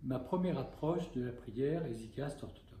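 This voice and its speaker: A man speaks at a moderate pace with a fairly high pitch and ordinary pitch variation. His tone is dark and mellow, somewhat breathy, with audible room echo. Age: 70s. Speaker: Orthodox bishop and spiritual teacher. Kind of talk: spiritual talk. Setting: talk to a small group.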